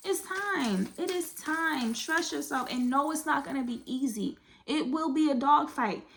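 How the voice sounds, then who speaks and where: With noticeable background noise behind her, a woman speaks at a high pitch and a fairly slow pace in an animated tone with lively intonation. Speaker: tarot card reader. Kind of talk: tarot reading.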